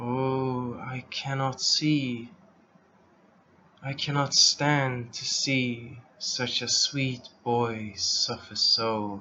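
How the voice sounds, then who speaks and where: The voice is a put-on character. Its pace is very slow. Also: man, medium pitch for a man. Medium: read story. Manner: soft.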